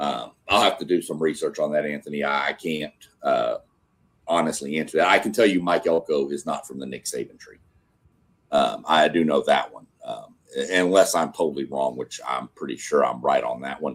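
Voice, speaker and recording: With a slight Southern US accent, a man speaks at a moderate pace while his loudness swings widely. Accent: slight Southern twang. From Texas. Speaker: sports show host. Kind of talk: casual live stream chat. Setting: live stream.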